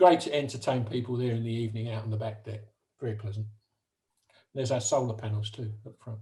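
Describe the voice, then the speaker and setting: A man with a dark, mellow tone and medium pitch speaks at a very fast pace, somewhat breathy. His intonation is fairly even, broken by long, frequent pauses. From UK. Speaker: retired barge owner presenting a talk. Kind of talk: slide presentation talk. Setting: video call.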